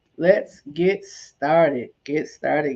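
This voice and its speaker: Ordinary pitch variation in a woman's speech, set against a quiet background. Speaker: livestream host. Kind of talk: casual livestream chat. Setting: livestream. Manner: repetitive, animated.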